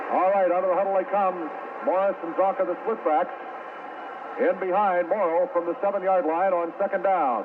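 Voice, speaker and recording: Noticeable background noise sits behind this recording. A man speaks in a high pitch with an excited tone. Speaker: sports radio announcer. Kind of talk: radio play-by-play commentary. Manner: fast, excited.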